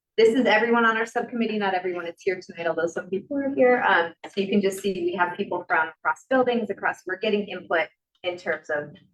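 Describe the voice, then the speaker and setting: A woman speaks in an ordinary speaking voice at medium pitch. Her pace is fairly quick, with ordinary pitch variation. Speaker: teacher presenting subcommittee proposal. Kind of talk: presentation at public meeting. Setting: school committee meeting in library.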